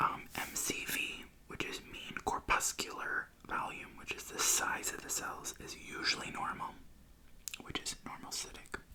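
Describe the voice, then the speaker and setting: A man whispering at a fairly slow pace over noticeable background noise. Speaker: ASMR creator. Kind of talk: ASMR reading of medical text. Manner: whispered, soft-spoken.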